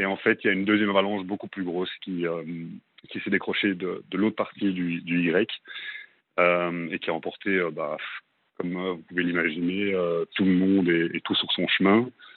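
A man talks at a moderate pace in a very deep, low voice. His delivery is monotone and flat, broken by long, frequent pauses. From Belgium. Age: 20s. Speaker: radio caller. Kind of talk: testimony. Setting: phone call. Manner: halting. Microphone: clear line with slight delay.

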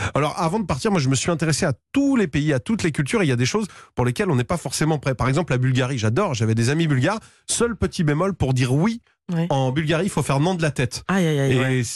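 Over a quiet background, a man talks very fast in an animated tone, somewhat breathy, with lively intonation and very even loudness. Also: fairly high pitch for a man. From western France, Vendée. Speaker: radio humor columnist. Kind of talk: comic monologue.

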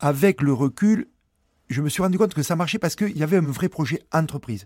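In a southwestern French accent, a man talks at a fairly quick pace with lively intonation, recorded very cleanly against a silent background in a dry, close sound with no echo. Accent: southwest French. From southwest France, rural village. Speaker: former rugby player turned entrepreneur. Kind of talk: testimony. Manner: hesitant, filler-heavy.

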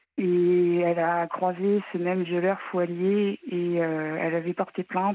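This is a woman talking. She delivers her words in a monotone, flat intonation. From Normandy, France. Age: 30s. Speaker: caller, incest survivor. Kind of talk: testimony. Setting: phone call.

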